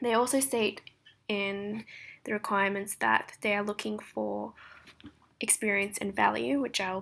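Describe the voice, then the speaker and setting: A woman with an Australian accent speaks at a fairly slow pace on a very clean recording with a silent background. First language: Japanese. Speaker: translation student. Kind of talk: recorded presentation.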